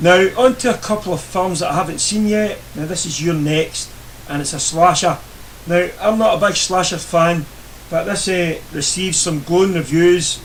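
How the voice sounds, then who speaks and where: The speaker has a Scottish accent and ordinary pitch variation, talking at a moderate pace amid audible room echo and noticeable background noise. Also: man, high pitch for a man. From Scotland. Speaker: YouTuber reviewing DVD purchases. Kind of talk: casual video review. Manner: hesitant, many fillers.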